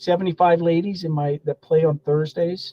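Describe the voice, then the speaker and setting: Speaking fairly quickly, a man uses fairly even intonation. He has an American accent and a high pitch. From US Pacific Northwest, Spokane. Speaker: golf professional and pro shop owner. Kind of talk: interview.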